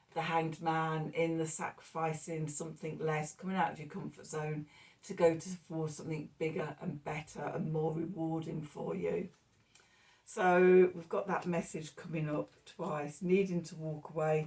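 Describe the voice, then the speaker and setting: Somewhat breathy and very deep in pitch, a woman speaks at a moderate pace with monotone, flat intonation and big swings in loudness. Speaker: tarot reader. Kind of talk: tarot reading monologue. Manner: mumbling.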